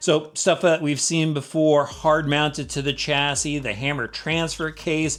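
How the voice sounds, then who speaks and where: This man talks at a fairly slow pace with hardly any pauses, his pitch fairly high and his intonation fairly even. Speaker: RC vehicle reviewer. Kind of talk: product review. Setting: outdoors. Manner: loud.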